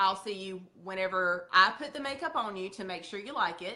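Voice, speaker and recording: Lively intonation in a Southern accent. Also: woman. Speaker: makeup sales leader. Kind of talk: training talk. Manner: animated.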